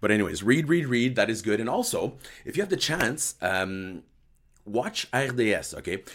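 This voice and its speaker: With a slight French accent, a man speaks at a medium pitch and a moderate pace. His intonation is lively. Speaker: hockey podcast host. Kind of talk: live post-game recap with chat. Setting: live video stream.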